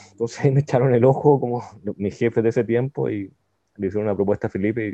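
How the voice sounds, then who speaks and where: Here a man talks in an ordinary speaking voice. His pace is fairly quick. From Chile, Santiago. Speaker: IT entrepreneur and database engineer. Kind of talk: casual interview.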